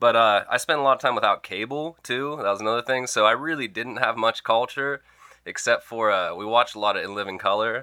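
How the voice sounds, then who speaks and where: At a fairly quick pace, the speaker uses an ordinary speaking voice with ordinary pitch variation and an American accent. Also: man, medium pitch for a man. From rural Pennsylvania, US. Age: 20s. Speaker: musician. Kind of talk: casual chat. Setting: studio.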